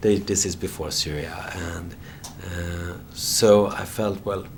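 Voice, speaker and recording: Audible room echo and noticeable background noise surround this man. His very deep, low voice keeps a fairly even intonation. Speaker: journalist and documentary filmmaker. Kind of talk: interview. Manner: halting, many repetitions and fillers.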